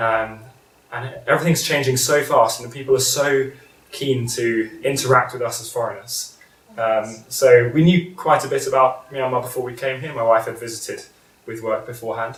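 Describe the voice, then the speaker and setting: With a British accent, a man speaks with fairly even intonation and big swings in loudness, against noticeable background noise and audible room echo. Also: medium pitch for a man, moderate pace. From Britain. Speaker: school vice principal. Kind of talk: interview. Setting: at his home. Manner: hesitant, many fillers.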